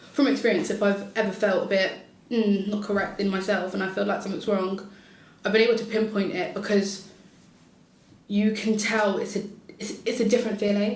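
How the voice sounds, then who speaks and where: A moderate-paced voice with a British accent, audible room echo and noticeable background noise. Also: woman. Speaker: podcast panelist, mental health nurse. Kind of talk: casual panel discussion. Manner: loud and bubbly.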